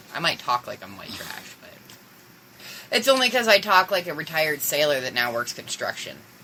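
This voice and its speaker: With noticeable background noise behind it, the voice moves at a fairly quick pace, its pitch swinging very widely and its loudness rising and falling sharply. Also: woman, fairly low pitch for a woman. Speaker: podcast co-host. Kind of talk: casual chat. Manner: slurred speech.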